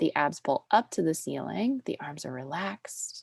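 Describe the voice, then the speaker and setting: Speaking in a fairly low voice with a soothing tone, a woman is heard in a dry, close sound with no echo. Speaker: pilates instructor. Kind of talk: fitness class instruction; casual chat. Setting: video call.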